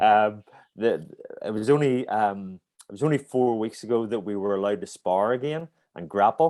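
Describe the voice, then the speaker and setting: In a very clean recording with a silent background, a man speaks with a Northern Irish accent at a moderate pace. His voice is fairly low, with a dark, mellow tone and ordinary pitch variation. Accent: Northern Irish (Belfast). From Northern Ireland, Belfast. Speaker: martial arts instructor. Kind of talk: interview. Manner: halting.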